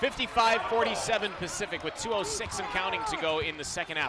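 A man at a moderate pace, the sound dry with no echo, under loud background noise. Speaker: play-by-play announcer. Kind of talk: sports commentary. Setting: arena broadcast. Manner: animated, urgent. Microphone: headset.

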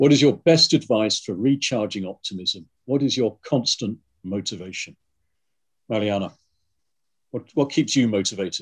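Slightly husky at the edge, a man's fairly low voice carries a fairly bright tone. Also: ordinary pitch variation, moderate pace.

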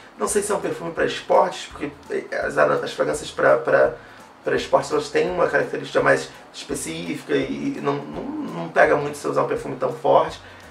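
At a fairly quick pace, a man talks amid light background noise and audible room echo. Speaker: perfume reviewer YouTuber; fragrance reviewer. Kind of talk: product review. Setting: home video recording, night, artificial light. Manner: stammering, repeats words. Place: home room.

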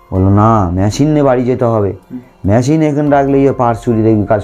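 Music in the background behind a male voice of ordinary pitch variation. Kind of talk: telling a true ghost story as podcast interview guest. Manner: conversational, rambling, repetitive.

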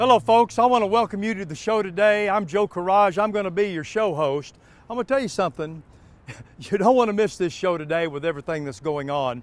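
This man talks at a very fast pace. The sound is dry with no echo. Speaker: TV show host. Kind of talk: promotional show host talk. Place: street. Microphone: lapel.

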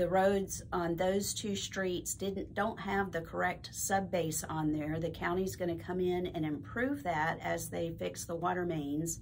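Using a normal speaking voice, a woman speaks at a fairly low pitch with fairly even intonation over light background noise. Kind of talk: public update address. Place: office.

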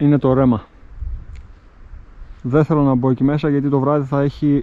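A man's dark, mellow voice in a dry recording with no echo and light background noise. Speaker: outdoor vlogger. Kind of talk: casual vlog chat. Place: forest. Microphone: phone near.

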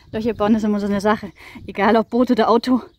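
A woman's medium-pitched voice at a moderate pace, slightly mellow in tone, with fairly even intonation.

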